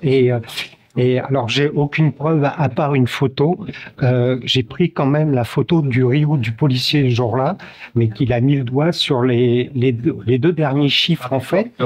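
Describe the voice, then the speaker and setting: Here a man speaks at a medium pitch with ordinary pitch variation. His loudness is very even. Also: fairly slow pace. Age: 60s. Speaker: protester interviewed outside court. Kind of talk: street interview testimony. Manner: hesitant, many fillers.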